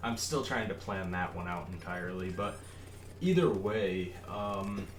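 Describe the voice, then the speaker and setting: A man's very deep, low voice at a fairly slow pace, with audible room echo and noticeable background noise. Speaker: gaming YouTuber. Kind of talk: gameplay voice-over commentary. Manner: casual, halting with many fillers.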